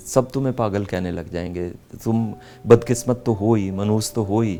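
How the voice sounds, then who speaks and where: Music plays in the background. Over it, a man with a fairly low pitch speaks with ordinary pitch variation. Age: 60s. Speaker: senior male model. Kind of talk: interview.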